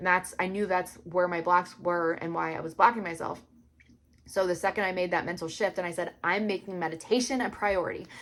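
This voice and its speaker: A woman's voice at a fairly quick pace, with fairly even intonation. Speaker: psychic intuitive and astrology teacher. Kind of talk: casual tutorial monologue. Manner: fast.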